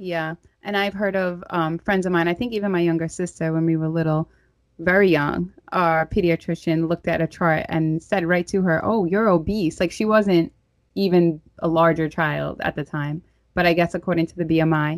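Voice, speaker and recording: Someone speaks in a New York accent at a moderate pace. The sound is dry and close with no echo, in a very clean recording with a silent background. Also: woman, fairly low pitch for a woman, fairly even intonation. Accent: New York (Staten Island). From Staten Island, New York. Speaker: podcast host. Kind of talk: casual interview.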